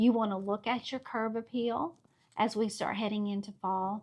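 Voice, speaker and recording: In a Southern US accent, a woman talks with a fairly high pitch. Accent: Southern US (Georgia). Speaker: real estate agent. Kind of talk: market update video. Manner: animated.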